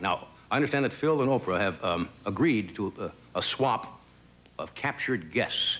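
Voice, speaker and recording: A man's voice moves through very wide pitch swings. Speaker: talk show host. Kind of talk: comedy monologue. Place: stage.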